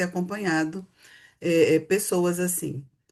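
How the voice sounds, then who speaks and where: Her intonation is monotone and flat. This woman speaks at a moderate pace with a medium pitch. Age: 60s. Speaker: psychotherapist. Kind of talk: casual chat.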